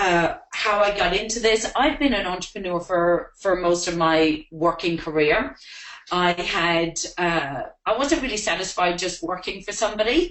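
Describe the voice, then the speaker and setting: A woman at a moderate pace and medium pitch, with ordinary pitch variation and noticeable background noise. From Ireland. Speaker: network marketing distributor. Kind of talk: webinar presentation. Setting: online webinar.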